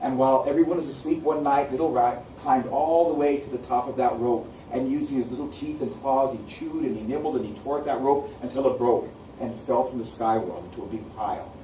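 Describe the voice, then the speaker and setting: With an American accent, the voice moves at a fairly quick pace with hardly any pauses and ordinary pitch variation. Audible room echo and noticeable background noise fill the recording. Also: man, medium pitch for a man. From US Pacific Northwest, Seattle. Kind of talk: oral storytelling. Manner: repetitive, rhythmic narration.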